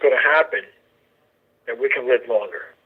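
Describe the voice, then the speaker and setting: A man talks at a moderate pace. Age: 60s. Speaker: group member and mentor. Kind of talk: testimony. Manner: halting.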